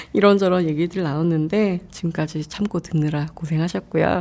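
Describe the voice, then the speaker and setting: Speaking in an ordinary speaking voice, a woman talks at a moderate pace in a fairly low pitch with ordinary pitch variation. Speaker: podcast host. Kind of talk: casual interview chat. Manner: laughs often, playful.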